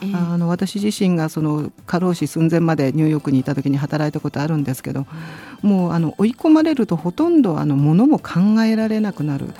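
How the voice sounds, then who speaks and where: A woman speaks with a fairly low pitch at a fairly quick pace. Noticeable background noise runs under her voice. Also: ordinary pitch variation. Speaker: international labour organization official. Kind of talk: educational talk.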